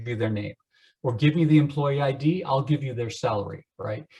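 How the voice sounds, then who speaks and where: A man's somewhat breathy voice has a dark, mellow tone and ordinary pitch variation. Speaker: computer science instructor. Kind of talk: lecture.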